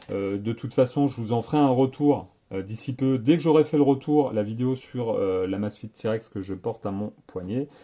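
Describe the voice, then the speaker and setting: A man's dark, mellow voice at a medium pitch, with ordinary pitch variation, against a quiet background. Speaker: tech YouTuber. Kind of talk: casual vlog monologue. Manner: fast; hesitant, many fillers.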